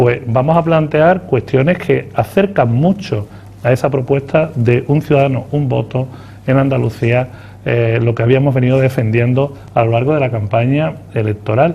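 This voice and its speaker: A plain, everyday voice moves at a moderate pace with ordinary pitch variation. Its loudness is very even. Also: man, medium pitch for a man. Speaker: politician, party spokesman. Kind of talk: TV interview answer.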